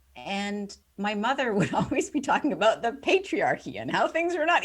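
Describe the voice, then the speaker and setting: A woman at a moderate pace with very wide pitch swings amid noticeable background noise. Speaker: author and communication coach. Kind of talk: podcast interview.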